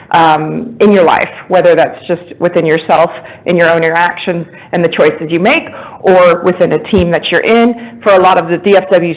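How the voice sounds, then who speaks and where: A woman of medium pitch talks at a moderate pace, noticeable background noise behind her. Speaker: strengths coach. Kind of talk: talk to a meetup group. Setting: room with audience, phone listeners. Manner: loud.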